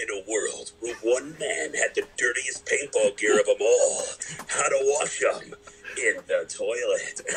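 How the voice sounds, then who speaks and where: Speaking in an assumed character voice, the man takes his time. His delivery is fairly slow. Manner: dramatic, epic.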